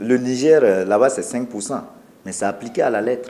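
A man's dark, mellow tone with lively intonation at a moderate pace. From Burkina Faso. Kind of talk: interview statement. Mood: firm, complaining. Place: office.

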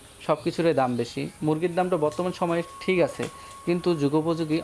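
Noticeable background noise accompanies the voice of a man as he talks. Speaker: agriculture YouTuber interviewing farmers. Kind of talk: on-location interview and report.

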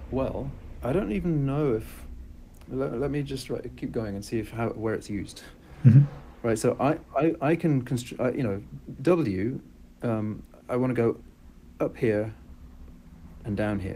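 At a moderate pace, a man with a dark, mellow tone and vocal fry speaks with ordinary pitch variation and long, frequent pauses over light background noise. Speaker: presenter. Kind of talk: lecture. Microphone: video call.

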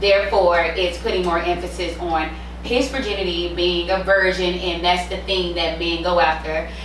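A moderate pace, with audible room echo and light background noise. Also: woman. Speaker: podcast co-host. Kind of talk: casual chat. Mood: opinionated, animated. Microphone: camera far.

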